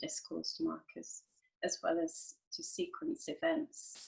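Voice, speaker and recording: A woman with a London accent, very wide pitch swings, and a very slow pace. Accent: British English, London. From London, England. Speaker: IELTS teacher. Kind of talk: online lesson talk to camera.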